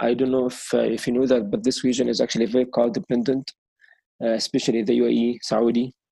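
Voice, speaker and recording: A man speaks at a medium pitch. He has an Arabic accent. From Egypt. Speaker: sustainable mobility expert. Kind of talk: interview. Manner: hesitant, many fillers.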